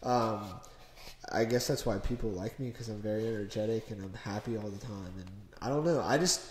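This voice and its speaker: A man speaks at a fairly quick pace in an American accent, his voice somewhat breathy. His loudness swings widely. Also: medium pitch for a man, ordinary pitch variation. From US Midwest, Cincinnati. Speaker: car enthusiast guest. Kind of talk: casual chat. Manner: animated.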